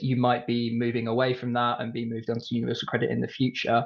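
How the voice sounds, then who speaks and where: Speaking at a very fast pace, a man with a British accent uses a medium pitch. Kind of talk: webinar presentation.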